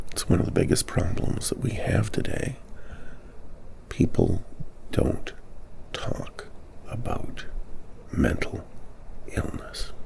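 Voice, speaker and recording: Someone whispers in a gentle, calm tone at a very slow pace, with long, frequent pauses and noticeable background noise. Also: man. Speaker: mental health advocate / ASMR-style host. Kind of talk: gentle supportive talk to camera on mental health. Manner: gentle, calm, slow.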